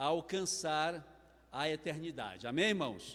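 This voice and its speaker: Here a man speaks at a fairly slow pace with a fairly high pitch. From Brazil, Maranhão. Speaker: preacher. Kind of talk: sermon. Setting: church.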